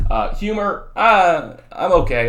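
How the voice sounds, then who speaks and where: Lively intonation marks this man's speech in an American accent. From southern California and Texas. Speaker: high school economics teacher. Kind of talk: lecture; casual chat. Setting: recorded video for students. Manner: fast; animated.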